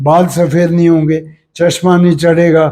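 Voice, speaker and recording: With a dark, mellow tone, a man speaks at a fairly high pitch. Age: 80s+. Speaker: yoga teacher. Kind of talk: interview.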